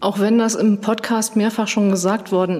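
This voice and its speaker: Noticeable background noise accompanies a woman speaking. Her pace is moderate and her intonation fairly even. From Schleswig-Holstein, Kiel. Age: 40s. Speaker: tourism marketing manager. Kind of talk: interview. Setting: on location.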